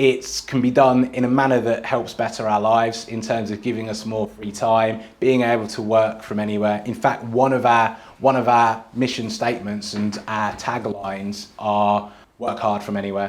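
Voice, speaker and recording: Over noticeable background noise, a man with a slight Birmingham accent talks at a medium pitch and with fairly even intonation. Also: moderate pace. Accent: slight Birmingham twang. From southern England (Dunstable, Bedfordshire). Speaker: tech company co-founder. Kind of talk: casual interview chat. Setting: small recording studio.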